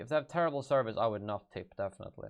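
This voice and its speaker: A man with a Swedish accent and lively intonation. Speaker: gaming YouTuber. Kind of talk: live stream Q&A. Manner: halting.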